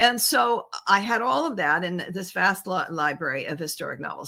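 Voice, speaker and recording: A woman's bright, sharp, medium-pitched voice with an American accent and lively intonation, at a moderate pace in a very clean recording with a silent background. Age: 70s. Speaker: travel writer and photographer. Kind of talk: interview conversation. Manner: halting, with frequent fillers and restarts.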